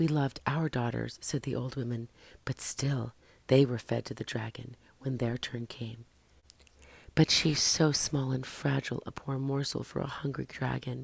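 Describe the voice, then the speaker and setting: Someone whispers at a moderate pace. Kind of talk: ASMR story reading. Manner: whispered.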